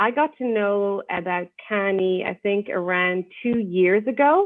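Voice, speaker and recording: A woman speaks in an Irish accent. Her pitch variation is ordinary. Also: medium pitch for a woman, fairly slow pace. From Ireland. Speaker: university lecturer. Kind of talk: podcast interview. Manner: hesitant, many fillers.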